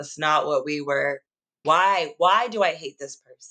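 A woman speaks with an American accent in a bright, sharp tone and a fairly low pitch. The sound is dry and close with no echo, and the background is quiet. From United States. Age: 20s. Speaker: spiritual content creator. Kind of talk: casual chat.

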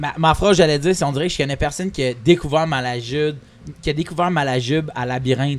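A man talks very fast at a fairly high pitch. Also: ordinary pitch variation. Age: 30s. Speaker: comedian. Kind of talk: casual chat. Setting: record shop.

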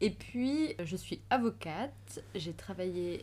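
A woman talks at a medium pitch with vocal fry. Her pitch swings very widely. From Switzerland, Valais (Sion). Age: 30s. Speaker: lawyer and traveler. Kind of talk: casual chat.

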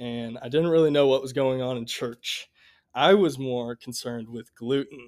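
A man with a Midwestern American accent speaks at a moderate pace and medium pitch, his intonation fairly even but his loudness swinging widely, on a very clean recording with a silent background. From US Midwest, Columbia, Missouri. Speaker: college student. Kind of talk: testimony.

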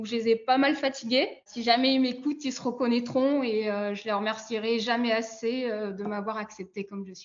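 With an ordinary speaking voice, a woman talks at a moderate pace with hardly any pauses, fairly even intonation and big swings in loudness. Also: fairly high pitch for a woman. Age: 20s. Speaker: postdoctoral chemist. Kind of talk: interview.

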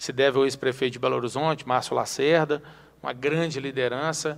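The speaker uses a plain, everyday voice at a moderate pace. The intonation stays fairly even. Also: man. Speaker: city councillor and teacher. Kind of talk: interview.

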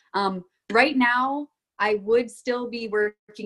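Her tone bright and sharp, a woman talks in an American accent. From Florida. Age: 20s. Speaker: college athlete. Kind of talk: casual chat.

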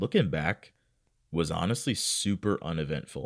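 On a very clean recording with a silent background, an energetic voice comes through in a dry, close sound with no echo. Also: man. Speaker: podcast host. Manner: casual, energetic storyteller, goes off on tangents.

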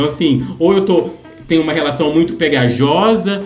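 The speaker uses ordinary pitch variation at a moderate pace. Audible room echo and music can be heard in the background. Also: man. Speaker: natural therapy content creator. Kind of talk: interview.

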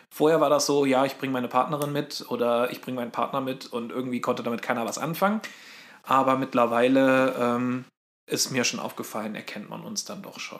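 A man with a plain, everyday voice speaks at a fairly quick pace, with a medium pitch, ordinary pitch variation, and big swings in loudness. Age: 30s. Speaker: podcast co-host. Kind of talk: casual chat.

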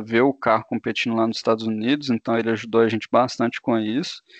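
Monotone, flat intonation from a man. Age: 20s. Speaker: engineering student. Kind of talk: casual interview.

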